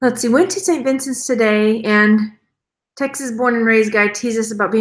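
The delivery is an unforced reading voice with fairly even intonation. The background is quiet.

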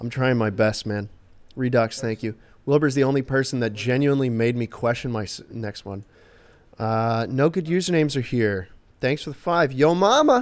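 His pitch rises and falls in an ordinary way. The man keeps a moderate pace. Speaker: livestreamer; game streamer. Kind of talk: casual live stream chat. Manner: animated. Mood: joking, relaxed. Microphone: studio mic.

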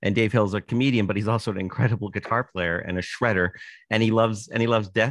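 Very fast and with a Canadian accent, a man speaks in a fairly low pitch with fairly even intonation, in a dry sound with no echo against a quiet background. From Canada, Toronto. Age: 60s. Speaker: author and musician. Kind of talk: casual interview chat. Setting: video call. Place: home room. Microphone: studio mic.

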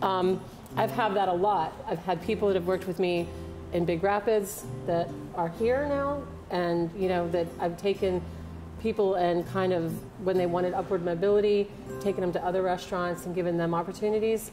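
A woman's voice with ordinary pitch variation and clear music in the background. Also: moderate pace. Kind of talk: interview answer. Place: bar.

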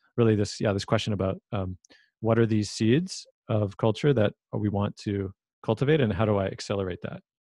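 This man has an unremarkable speaking voice, fairly low in pitch, at a moderate pace. The background is quiet, and the sound is dry and close with no echo. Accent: Canadian. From Vancouver, Canada. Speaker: filmmaker and podcast host. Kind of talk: casual interview.

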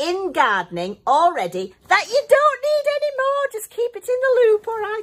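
Speaking at a fairly slow pace, a woman has an extremely high pitch. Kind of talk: tutorial. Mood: cheerful, chatty. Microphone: phone near.

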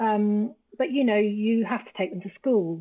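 An English accent with ordinary pitch variation against a quiet background. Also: woman. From England. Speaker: travel business founder; podcast guest. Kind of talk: casual chat. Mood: reflective, earnest. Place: home room.

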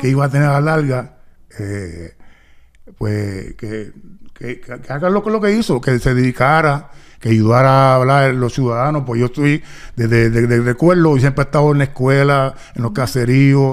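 A man at a moderate pace, with ordinary pitch variation against a quiet background. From Puerto Rico, raised partly in Los Angeles. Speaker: retired basketball player; guest. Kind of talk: interview. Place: studio. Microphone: studio mic.

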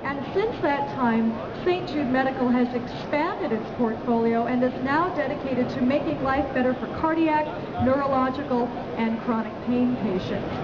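Against loud background noise, a woman talks at a moderate pace in a high pitch with ordinary pitch variation. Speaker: corporate presenter. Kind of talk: live trade show presentation. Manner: personable, engaging. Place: hall. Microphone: headset.

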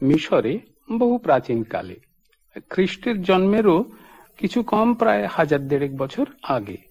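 A man's high-pitched voice swings very widely in pitch. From Bengal. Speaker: theatre actor and storyteller. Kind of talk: storytelling narration.

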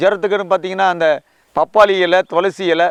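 Here a man speaks with fairly even intonation and a high pitch. The sound is dry and close, with no echo. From Tamil Nadu, Vellore district. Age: 50s. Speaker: farmer, army veteran. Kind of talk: interview testimony. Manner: colloquial, filler-heavy.

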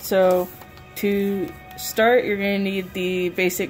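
Faint background music behind a female speaker. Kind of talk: tutorial. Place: home room. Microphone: phone near.

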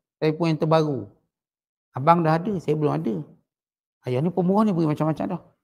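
Speaking very fast with long, frequent pauses, a man uses a fairly high pitch. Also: ordinary pitch variation. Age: old. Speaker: religious teacher. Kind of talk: religious lecture. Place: home room. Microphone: headset.

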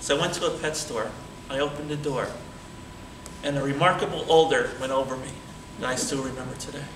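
A man talks at a very fast pace and a fairly high pitch with ordinary pitch variation, leaving long, frequent pauses, while audible room echo and light background noise fill the recording. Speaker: public speaking club member. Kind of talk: storytelling speech at a tall tales contest. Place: hall. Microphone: camera far.

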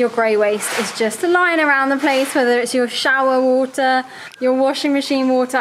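Moderate pace and fairly even intonation over light background noise. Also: woman. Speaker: home renovation vlogger. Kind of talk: casual vlog chat. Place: home room. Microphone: phone near.

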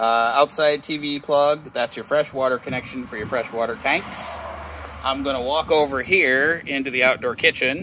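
A man talks with ordinary pitch variation in a dry sound with no echo, over noticeable background noise. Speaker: RV dealership salesperson. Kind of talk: product walkthrough commentary. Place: street. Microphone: phone near.

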